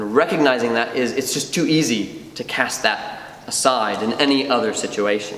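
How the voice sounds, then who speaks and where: Amid noticeable background noise and audible room echo, a man with an American accent talks with hardly any pauses and ordinary pitch variation. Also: medium pitch for a man, moderate pace. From United States. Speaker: doctoral student and co-op member. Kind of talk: conference talk. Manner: hesitant, many fillers and repeats.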